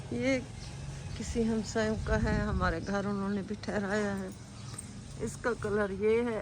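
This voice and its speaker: A woman speaks at a very slow pace with long, frequent pauses. Audible room echo surrounds her voice. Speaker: vlogger. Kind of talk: casual vlog.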